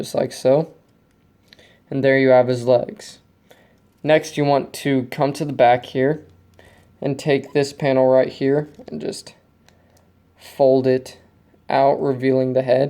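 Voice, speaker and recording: A man speaks at a very slow pace, with long, frequent pauses and a dark, mellow tone. His pitch is medium, and his intonation is monotone and flat. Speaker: LEGO builder. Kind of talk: casual show-and-tell to camera.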